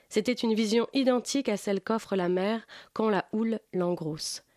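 A woman's plain, everyday voice, fairly high in pitch, at a moderate pace with ordinary pitch variation. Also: dry, close sound with no echo, quiet background. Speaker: book columnist. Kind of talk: reading aloud. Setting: studio.

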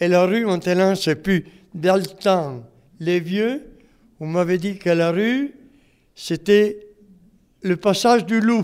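Very slow delivery with long, frequent pauses carries ordinary pitch variation. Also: man, high pitch for a man. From Italy. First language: Italian (speaking French). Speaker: retired mason, retirement home resident. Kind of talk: oral history interview. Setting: retirement home.

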